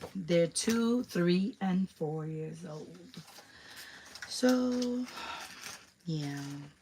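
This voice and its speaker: Against noticeable background noise, a woman speaks at a very slow pace with long, frequent pauses. Her pitch swings very widely and her loudness shifts a lot. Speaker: crafter and craft shop host. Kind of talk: live craft tutorial. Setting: YouTube livestream. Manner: casual, hesitant with fillers.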